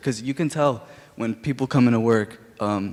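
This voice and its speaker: In an American accent, an unremarkable speaking voice moves along at a moderate pace. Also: man. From Illinois, US Midwest. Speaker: audience member. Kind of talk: audience question at public talk.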